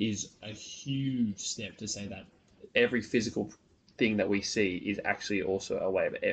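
In an Australian accent, a man speaks at a moderate pace with big swings in loudness. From northern beaches of Sydney, Australia. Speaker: podcast host, physics student. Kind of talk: casual interview. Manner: halting, many fillers.

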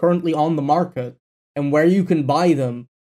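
At a moderate pace, a man speaks with fairly high pitch and fairly even intonation. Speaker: podcast co-host and editor. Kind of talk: casual chat. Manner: loud.

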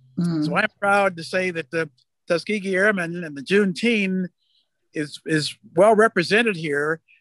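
A man speaks at a moderate pace in a high pitch with ordinary pitch variation. The sound is dry and close, with no echo. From Texas, moved to California as a child. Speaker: retired aerospace engineer. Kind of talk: panel discussion.

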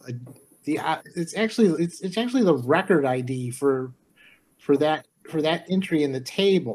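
A man's fairly high voice with an American accent, lively intonation and a moderate pace. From Detroit, Michigan. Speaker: programmer. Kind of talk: casual chat.

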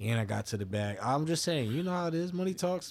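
A man speaks with an American accent and lively intonation. The recording is very clean, with a silent background. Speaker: podcast co-host. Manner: casual, laid-back, profane.

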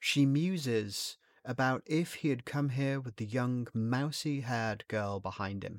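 Dry and close with no echo, this very clean recording with a silent background captures a man with a normal speaking voice talking at a fairly slow pace, his medium pitch showing ordinary variation. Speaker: narrator and creator of the short story. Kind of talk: horror audiobook narration, read aloud as a scripted short story.

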